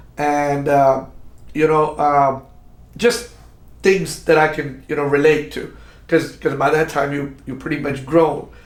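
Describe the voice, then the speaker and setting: A man's fairly high voice with fairly even intonation, long and frequent pauses, and audible room echo. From Pakistan. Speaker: podcast host. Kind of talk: interview. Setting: studio. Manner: halting, many repetitions.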